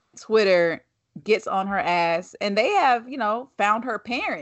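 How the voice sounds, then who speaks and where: Speaking fairly slowly, a woman uses an unremarkable speaking voice, fairly high in pitch with lively intonation. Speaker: podcast host. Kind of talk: casual conversation.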